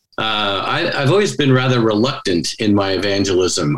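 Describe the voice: Speaking at a moderate pace with an American accent, this man has a fairly low pitch and fairly even intonation, with audible room echo around him.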